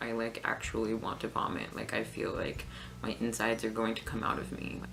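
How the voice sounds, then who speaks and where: The speech moves at a fairly quick pace, with noticeable background noise around it. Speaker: video blogger. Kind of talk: personal vlog. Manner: halting, many fillers.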